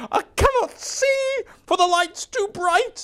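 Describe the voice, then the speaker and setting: This put-on character voice is squeaky and extremely high. Its pace is fairly slow. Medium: read story.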